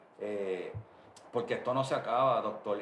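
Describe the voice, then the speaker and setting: Room echo is audible and background noise is clearly present while a man talks. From Puerto Rico (Bayamón). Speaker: reggaeton music producer. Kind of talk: interview.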